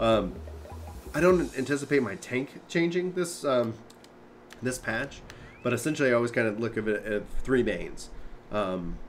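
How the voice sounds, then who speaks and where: Lively intonation comes with an American accent, broken by long, frequent pauses. Noticeable background noise runs underneath. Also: man, medium pitch for a man. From Texas. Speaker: gaming streamer. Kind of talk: casual chat. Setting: live stream with voice chat. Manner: hesitant, many fillers.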